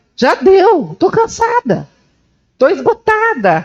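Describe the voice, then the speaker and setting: A woman with an intense tone and very wide pitch swings is heard with a dry, close sound and no echo. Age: 60s. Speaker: journalist. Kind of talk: panel discussion. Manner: intense, emphatic.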